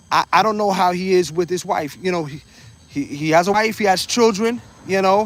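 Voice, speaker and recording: A man with a high-pitched voice speaks at a moderate pace. His intonation stays fairly even over noticeable background noise. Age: 50s. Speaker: live streamer. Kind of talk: casual livestream chat. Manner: halting, many repetitions.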